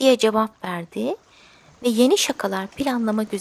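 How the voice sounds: A natural reading voice with pitch that shifts in an ordinary way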